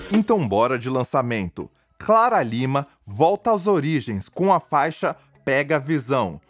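Music plays in the background as a man speaks at a fairly slow pace. His pitch swings very widely, and the sound is dry and close with no echo. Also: fairly high pitch for a man. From São Paulo, Brazil (Taboão da Serra). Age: 20s. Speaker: podcast host and rapper. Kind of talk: news roundup podcast with personal interview segment. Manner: animated.

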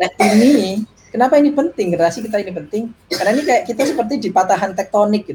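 A man with a high pitch, a very fast pace and lively intonation, over noticeable background noise. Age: 30s. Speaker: tech executive and parent. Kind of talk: casual interview.

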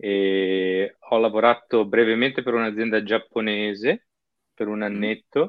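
Fairly low male speech at a fairly slow pace, a plain, everyday voice with fairly even intonation. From northern Italy, Padova. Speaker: software worker living abroad. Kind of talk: interview.

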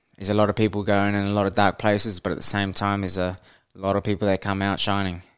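On a very clean recording with a silent background, a man speaks at a fairly low pitch in a New Zealand accent. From New Zealand, Waikato (Hamilton). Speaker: podcast host. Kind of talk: casual solo monologue. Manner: hesitant, many fillers.

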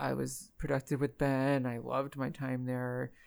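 A man speaks at a moderate pace and medium pitch in an unremarkable speaking voice. The recording is very clean, with a silent background. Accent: American. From Florida Gulf Coast, earlier Phoenix, Arizona. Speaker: medical scientist and professor. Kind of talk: interview conversation.

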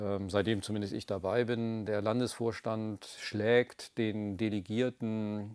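Against a very clean recording with a silent background, a man speaks at a very slow pace in a fairly low pitch with monotone, flat intonation. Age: 50s. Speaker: regional politician. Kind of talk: interview. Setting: studio.

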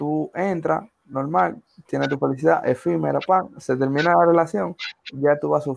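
A man at a moderate pace. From Dominican Republic, Villa Faro. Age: 20s. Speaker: podcast co-host. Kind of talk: casual chat.

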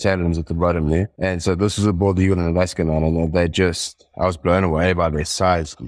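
A very deep, low male voice speaks fairly quickly in a flat monotone. The recording is very clean, with a silent background. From South Africa, Johannesburg suburbs. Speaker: wildlife guide. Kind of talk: casual chat.

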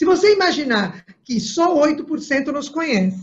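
A woman speaks very slowly with lively intonation. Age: 60s. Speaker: political candidate. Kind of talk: interview. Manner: halting, many fillers.

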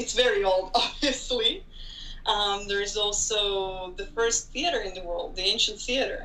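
The speech goes at a fairly slow pace against noticeable background noise. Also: woman. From Israel (Tel Aviv). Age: 20s. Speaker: graduate student. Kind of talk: casual interview.

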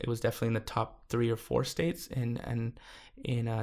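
A man with an American accent talks in a normal speaking voice of medium pitch at a moderate pace, on a very clean recording with a silent background. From California, US. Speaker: school board member and immigrant rights activist. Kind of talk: interview.

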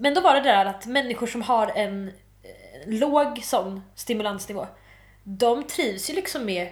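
At a fairly slow pace, a woman with an unremarkable speaking voice speaks fairly high in pitch, with lively intonation. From Malmö, southern Sweden. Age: 20s. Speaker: student. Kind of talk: casual chat.

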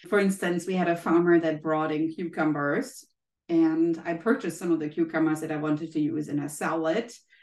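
With a German accent, a woman speaks at a fairly quick pace and fairly low pitch, her intonation fairly even. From Germany. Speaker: health economist and professor. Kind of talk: interview.

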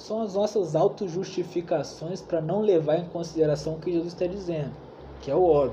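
A man talks with a high voice and ordinary pitch variation. Background noise is noticeable throughout. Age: 20s. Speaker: bible study leader. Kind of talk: bible study teaching. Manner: casual, slangy.

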